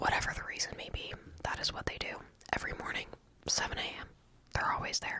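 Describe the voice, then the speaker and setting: A woman whispers over noticeable background noise. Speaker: ASMR creator. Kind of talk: whispered ASMR ramble about neighborhood gossip. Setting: late night, close-mic at home. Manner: whispered, soft, slow.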